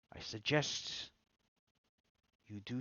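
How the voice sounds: A man whispers raspily in a put-on character voice at a very slow pace.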